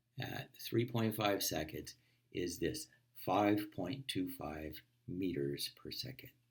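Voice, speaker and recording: Very slowly, a man speaks in a fairly low pitch with vocal fry. His pitch swings very widely. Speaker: physics lecturer. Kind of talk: recorded lecture.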